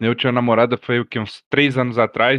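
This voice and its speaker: At a fairly quick pace, a man speaks in an ordinary speaking voice of medium pitch. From Brazil, Brasília. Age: 30s. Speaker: roleplay streamer. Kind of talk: casual chat.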